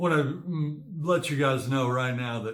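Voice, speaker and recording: Using a put-on character voice, a man mumbles at a moderate pace and medium pitch, with audible echo. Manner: mumbling.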